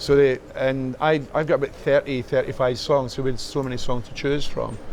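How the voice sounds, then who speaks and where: A man with a Scottish accent, fairly high pitch and monotone, flat intonation, at a fairly quick pace over noticeable background noise. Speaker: musician. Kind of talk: interview. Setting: rock club. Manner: halting.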